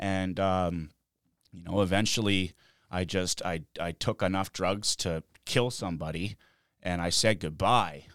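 A man with a very deep, low voice speaks fairly slowly with fairly even intonation and big swings in loudness, in a very clean recording with a silent background. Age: 30s. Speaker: skateboarder in addiction recovery. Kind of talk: casual chat. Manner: casual, filler-heavy with frequent 'man' and 'like'.

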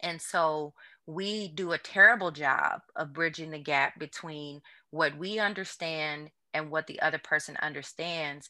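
A woman speaks fairly slowly in a very deep, low pitch with a bright, sharp tone and fairly even intonation. Her loudness swings widely, and the recording is very clean with a silent background. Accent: American. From US Midwest. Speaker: trauma psychiatrist. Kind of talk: casual interview chat. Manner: calm, reassuring.

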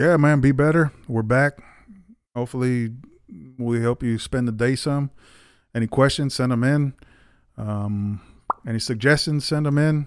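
At a moderate pace and medium pitch, a man speaks with fairly even intonation and long, frequent pauses. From US, Mexican-American West Side neighborhood. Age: 40s. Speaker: podcast co-host. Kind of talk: casual chat.

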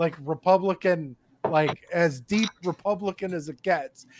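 A man's high-pitched voice carries lively intonation as he talks. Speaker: podcast guest. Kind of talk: casual banter. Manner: crude, joking.

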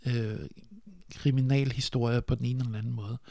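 At a fairly slow pace, a man speaks in a medium pitch with a dark, mellow tone and fairly even intonation. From Denmark, Funen (Nyborg). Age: 40s. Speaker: sound designer. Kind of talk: casual chat.

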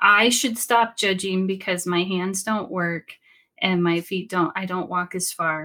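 Here a woman talks at a fairly slow pace in a medium pitch with an American accent. Her tone is bright and sharp, and her intonation fairly even. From Sacramento, California. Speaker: podcaster living with chronic pain. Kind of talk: casual interview.

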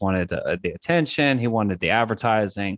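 Against a quiet background, a man speaks at a moderate pace and medium pitch in a plain, everyday voice. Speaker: Pokemon player and streamer. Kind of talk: casual chat.

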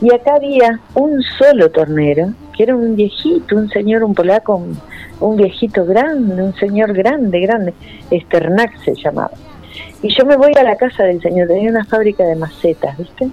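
Music plays behind a woman with a fairly high voice. She talks at a moderate pace with lively intonation. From Santa Fe, Argentina. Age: 60s. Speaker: ceramicist and art school director. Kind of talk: radio interview.

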